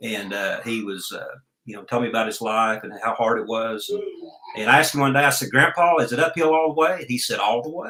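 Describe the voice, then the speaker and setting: Very fast and lively in intonation, a man with an Oklahoma accent speaks at a medium pitch with big swings in loudness, and room echo is audible. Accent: US Southern (Oklahoma). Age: 60s. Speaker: entrepreneur and life coach. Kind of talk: interview.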